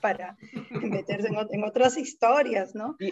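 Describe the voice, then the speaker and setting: A woman with an ordinary speaking voice and a fairly high pitch speaks at a fairly slow pace. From Peru, Lima (San Juan de Miraflores). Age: 50s. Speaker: poet. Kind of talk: casual chat.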